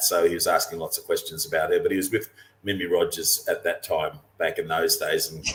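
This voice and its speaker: The speaker is a man with an Australian accent. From Australia, western Queensland. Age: 60s. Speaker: professional mariner and cruising guide author. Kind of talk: webinar interview.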